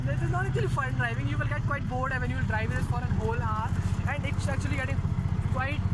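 A man talks at a very fast pace. The sound is dry with no echo, but loud background noise runs underneath. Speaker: vehicle vlogger driving. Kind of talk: casual vlog review. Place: car.

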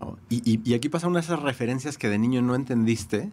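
The recording is very clean, with a silent background. On it, a man speaks at a fairly quick pace. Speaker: music writer. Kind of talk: casual chat.

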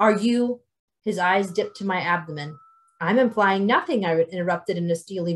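It is plain reading aloud with ordinary pitch variation. The background is quiet.

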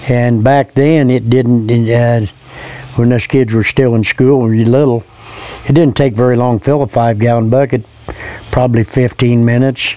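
Speaking with a Midwestern US accent, a man keeps a moderate pace, very even loudness, and monotone, flat intonation, the sound dry with no echo. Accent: rural Midwestern American. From Indiana, Hillsdale; Indiana. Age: 70s. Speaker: retired local recalling childhood. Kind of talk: interview recollection. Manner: halting, with fillers and repeats. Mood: fond, relaxed reminiscing. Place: garden.

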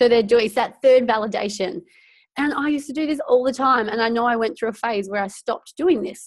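A woman with an Australian accent, animated in tone, at a fairly quick pace with ordinary pitch variation and a quiet background. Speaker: network marketing director. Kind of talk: team training webinar. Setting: video call from home. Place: home room. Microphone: earbuds.

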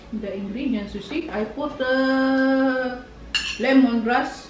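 With audible room echo and music behind her, a woman speaks very slowly in a fairly even intonation. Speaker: family vlogger. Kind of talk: casual vlog chat. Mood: calm, gentle.

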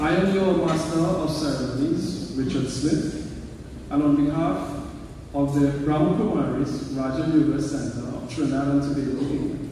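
There is strong room echo and light background noise behind a man's voice. He keeps a moderate pace with fairly even intonation. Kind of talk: formal event announcement. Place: hall.

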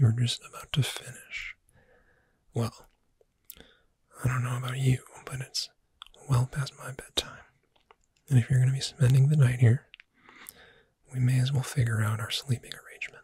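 At a moderate pace broken by long, frequent pauses, the soft-spoken voice sounds calm, with a dry sound and no echo. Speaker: roleplay voice actor. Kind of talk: ASMR roleplay, soft-spoken. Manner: soft-spoken, calm sleepy-time voice.

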